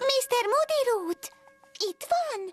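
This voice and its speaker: Over faint background music, a put-on character voice that sounds female comes out squeaky and extremely high. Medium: fan dub. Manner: soft-spoken, polite.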